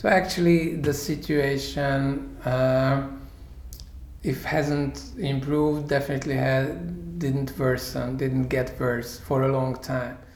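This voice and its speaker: A man speaks at a very slow pace, his pitch fairly high, his intonation fairly even and his loudness very even. Audible room echo and noticeable background noise fill the recording. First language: Hungarian (speaking Czech). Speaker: human rights NGO leader. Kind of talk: interview.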